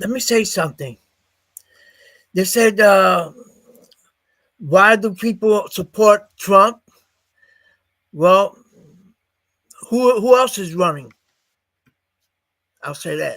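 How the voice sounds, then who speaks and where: A man with a high pitch and a bright, sharp tone talks at a very slow pace, using ordinary pitch variation and long, frequent pauses. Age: 70s. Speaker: political party leader. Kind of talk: casual chat. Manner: halting.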